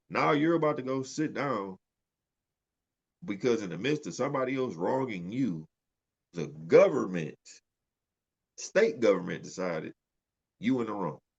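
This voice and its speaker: A man speaks at a medium pitch with vocal fry and very wide pitch swings. His pace is moderate, broken by long, frequent pauses. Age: 30s. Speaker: podcast co-host. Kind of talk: casual chat.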